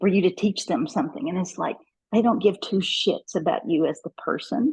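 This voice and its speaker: Somewhat breathy and dark, mellow in tone, a woman with a Kentucky accent speaks at a medium pitch with lively intonation. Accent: Kentucky twang. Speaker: network marketing professional. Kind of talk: interview.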